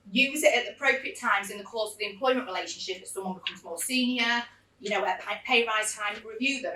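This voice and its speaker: A woman talks at a very fast pace with a fairly high pitch, over noticeable background noise. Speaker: employment lawyer. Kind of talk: seminar presentation. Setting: seminar room with live audience. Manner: loud.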